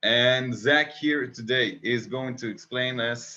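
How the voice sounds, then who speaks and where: A man speaks at a fairly slow pace in an Israeli accent. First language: Hebrew. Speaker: interview host. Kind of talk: interview.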